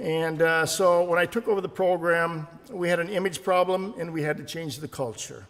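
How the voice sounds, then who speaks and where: A Wisconsin accent at a moderate pace, with noticeable background noise. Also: man. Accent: Upper Midwest (Wisconsin). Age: 70s. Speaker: wrestling coach. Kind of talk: acceptance speech. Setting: stage with audience. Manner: halting, many fillers.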